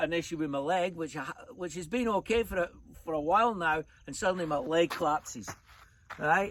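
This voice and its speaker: A man with a Scottish accent, high-pitched for a man, with ordinary pitch variation, a fairly quick pace and long, frequent pauses. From Scotland. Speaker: storyteller, traveller.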